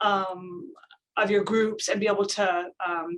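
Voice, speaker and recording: The speaker has a normal speaking voice and a fairly slow pace. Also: woman. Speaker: safety trainer. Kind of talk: tutorial.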